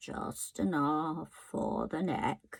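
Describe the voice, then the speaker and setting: A woman puts on a character voice. Her pitch is very deep and low. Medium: read story. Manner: polite, apologetic.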